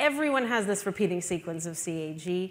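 A woman is speaking at a moderate pace. Her pitch is fairly low.

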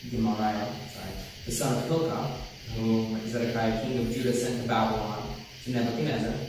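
There is strong room echo and light background noise. A man talks at a fairly quick pace. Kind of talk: scripture reading aloud. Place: church.

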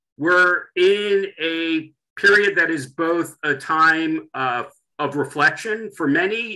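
A man's voice has a bright, sharp tone and ordinary pitch variation. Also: quiet background. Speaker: webinar host. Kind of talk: event introduction. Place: home room. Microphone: video call.

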